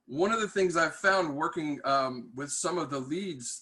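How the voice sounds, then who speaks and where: Loud and at a moderate pace, a man talks in a bright, sharp tone. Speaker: tech industry manager and mentor. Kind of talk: webinar talk. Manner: hesitant with many fillers.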